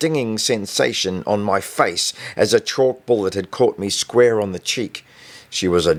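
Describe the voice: The voice is a plain reading aloud.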